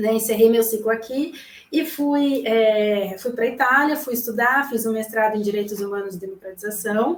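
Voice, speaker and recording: A woman uses an ordinary speaking voice at a fairly high pitch, with ordinary pitch variation. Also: moderate pace. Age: 30s. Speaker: journalist. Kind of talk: live consultation chat.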